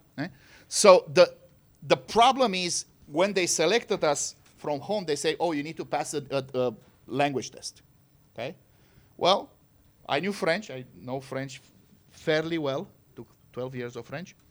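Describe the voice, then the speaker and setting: Someone with a Romanian accent speaks at a fairly slow pace with lively intonation and big swings in loudness. Long, frequent pauses break up the speech. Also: man, fairly high pitch for a man. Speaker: physics professor.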